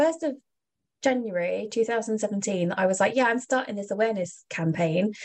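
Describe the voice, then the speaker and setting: A woman with a southeast English accent, fairly high pitch and a moderate pace. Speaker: advocacy organization representative. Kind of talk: casual interview.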